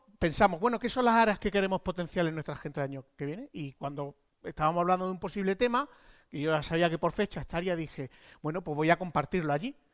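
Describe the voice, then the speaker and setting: Talking at a very fast pace with an Andalusian accent, a man uses a high pitch and lively intonation, the sound dry and close with no echo, in a very clean recording over a silent background. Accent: Granada Andalusian. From Spain, Andalusia (Granada). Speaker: software architect at a tech consultancy. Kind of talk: conference talk. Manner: casual, animated.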